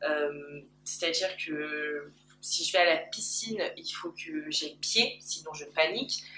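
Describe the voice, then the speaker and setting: With lively intonation and a bright, sharp tone, a woman talks at a very slow pace. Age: 20s. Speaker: YouTuber. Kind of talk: personal vlog. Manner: loud. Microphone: camcorder built-in mic.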